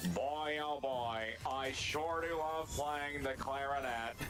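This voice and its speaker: Over loud background noise, a man speaks fairly slowly in a put-on character voice. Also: fairly high pitch for a man. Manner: sarcastic, nasal deadpan.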